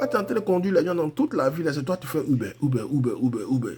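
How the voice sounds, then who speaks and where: At a fairly quick pace, a man with an Ivorian accent speaks in an animated tone against noticeable background noise. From Ivory Coast. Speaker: forex trading coach. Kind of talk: live trading tutorial. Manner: casual, animated.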